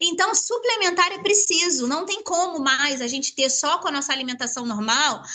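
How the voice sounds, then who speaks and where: Her pitch is extremely high, with very wide swings. The woman uses a raised, projected voice at a fairly quick pace. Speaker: product distributor presenter. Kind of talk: sales pitch. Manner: fast.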